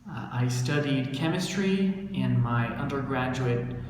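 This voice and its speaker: There is audible room echo and noticeable background noise as a man with a medium pitch speaks with an American accent. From United States. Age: 20s. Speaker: English teacher. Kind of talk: casual self-introduction monologue.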